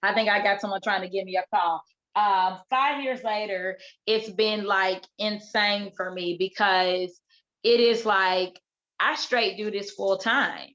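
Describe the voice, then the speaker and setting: A loud, bright, sharp tone with fairly even intonation. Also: woman, medium pitch for a woman. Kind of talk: casual chat. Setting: video call.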